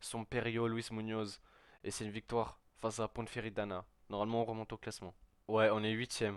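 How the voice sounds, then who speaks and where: At a moderate pace, a man talks with a medium-pitched voice. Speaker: gaming youtuber. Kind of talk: gameplay commentary. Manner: stammering.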